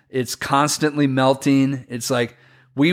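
A man's ordinary speaking voice with an American accent, medium pitch and a moderate pace, on a very clean recording with a silent background. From US inland Northwest. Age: 50s. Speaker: snowboard event organizer. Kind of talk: casual chat.

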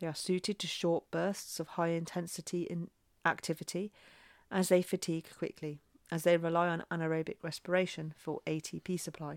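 A fairly quick, flat, monotone delivery in an English accent, with a dry, close sound with no echo and a very clean recording with a silent background. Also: woman, fairly low pitch for a woman. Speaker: former science teacher. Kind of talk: tutorial.

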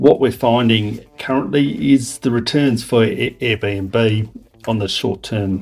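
With an Australian accent, this man talks at a fairly slow pace, his pitch medium and its variation ordinary. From Western Australia. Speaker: property valuer. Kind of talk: short prepared monologue.

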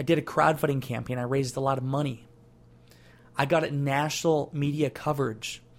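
Somewhat breathy and animated, a man with fairly high pitch speaks at a fairly quick pace. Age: 20s. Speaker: podcast host, entrepreneur. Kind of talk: motivational monologue.

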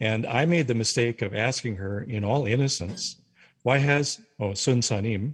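A somewhat breathy man with an American accent and medium pitch speaks at a fairly slow pace with ordinary pitch variation against a quiet background. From North Dakota, US. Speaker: retired religion professor. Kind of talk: interview.

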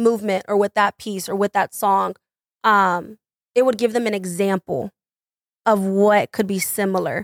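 Speaking in a normal speaking voice, a woman uses a medium pitch and fairly even intonation at a moderate pace. The sound is dry and close, with no echo. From Texas, Mesquite. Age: 20s. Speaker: dancer and dance teacher. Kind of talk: casual chat.

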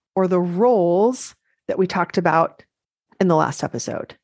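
Her intonation is lively, and the woman has an unremarkable speaking voice. She talks at a moderate pace against a quiet background. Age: 40s. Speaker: life coach and podcast host. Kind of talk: solo podcast monologue.

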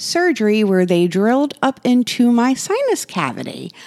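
A woman speaks at a fairly slow pace with lively intonation. She has a plain, everyday voice. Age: 40s. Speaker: podcast host. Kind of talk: personal monologue. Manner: casual with frequent fillers.

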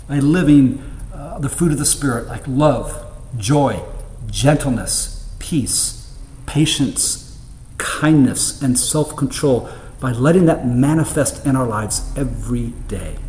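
A man talks at a very slow pace. Noticeable background noise runs under his words. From United States. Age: 50s. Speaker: preacher. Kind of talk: sermon.

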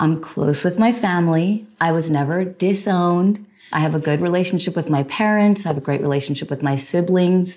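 This woman talks at a fairly quick pace with a New Jersey accent and hardly any pauses. Her pitch is fairly low, with ordinary variation. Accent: American (New Jersey). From New Jersey, US. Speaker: podcast host. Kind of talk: solo monologue answering listener questions.

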